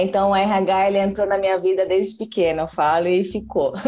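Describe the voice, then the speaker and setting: Music plays in the background as a woman speaks at a moderate pace and a medium pitch. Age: 30s. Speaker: mother and entrepreneur, former HR professional. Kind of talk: casual interview on a live stream. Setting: live video stream. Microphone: quiet audio.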